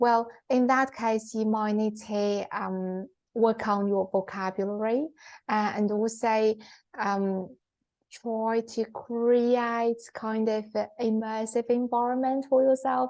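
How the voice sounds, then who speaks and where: Very slow, monotone, flat speech from a woman with a Chinese accent and a fairly high pitch, against a quiet background. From China. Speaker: podcast co-host. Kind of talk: casual chat. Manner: halting, many fillers.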